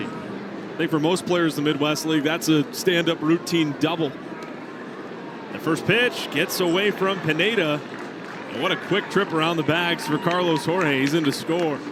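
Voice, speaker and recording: Noticeable background noise sits behind a man with a fairly high pitch. He keeps a moderate pace and fairly even intonation. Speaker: sports play-by-play broadcaster. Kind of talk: baseball TV play-by-play call.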